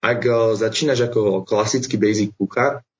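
At a moderate pace, a man speaks in a somewhat breathy voice with fairly even intonation. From Slovakia, Bratislava. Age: 20s. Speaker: travelling chef. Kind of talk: interview. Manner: hesitant, many fillers.

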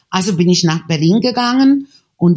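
With a Czech accent, a woman talks at a fairly slow pace, her pitch swinging very widely. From Czechoslovakia. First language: Czech (speaking German). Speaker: painter and photographer. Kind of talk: interview. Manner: halting.

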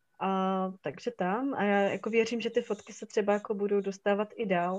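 Fairly level intonation from a woman at a mid-range pitch. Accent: Silesian. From Czech Silesia, Hradec nad Moravicí. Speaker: photographer. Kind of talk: casual interview.

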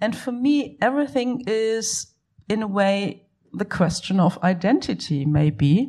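A woman talks very slowly with a German accent, her pitch swinging very widely. The background is quiet. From Germany. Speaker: art historian. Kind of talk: panel discussion. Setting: cinema hall event with audience.

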